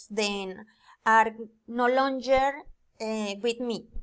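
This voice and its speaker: A woman with a Spanish accent speaks at a high pitch and a very slow pace. Her intonation is fairly even, and the recording is very clean with a silent background. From Colombia, Floridablanca, Santander. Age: 20s. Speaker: student and telemarketer. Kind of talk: student presentation, reading aloud. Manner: halting, hesitant.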